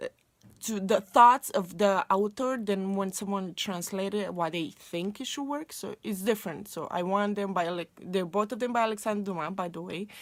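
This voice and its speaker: In a Romanian accent, a woman speaks at a medium pitch with ordinary pitch variation. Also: moderate pace. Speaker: booktuber. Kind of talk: casual vlog talk.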